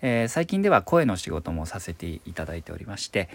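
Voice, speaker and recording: In a very clean recording with a silent background, a man with a fairly low pitch speaks at a fairly quick pace using very wide pitch swings. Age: 30s. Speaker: stage actor and voice actor. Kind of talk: solo podcast monologue.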